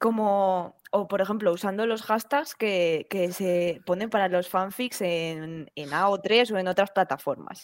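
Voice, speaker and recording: On a very clean recording with a silent background, a woman speaks at a very slow pace with hardly any pauses, at a medium pitch with ordinary pitch variation. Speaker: podcast host. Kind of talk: casual chat.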